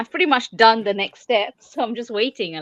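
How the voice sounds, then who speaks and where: Lively intonation marks this woman's Malaysian accent. The sound is dry and close, with no echo. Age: 40s. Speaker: crafter. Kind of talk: casual chat.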